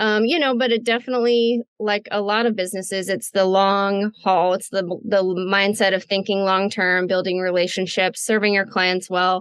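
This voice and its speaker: A woman with an American accent speaks in a plain, everyday voice at medium pitch, at a moderate pace with fairly even intonation, very even loudness and hardly any pauses. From Midwestern United States. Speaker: voice actor. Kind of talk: interview answer.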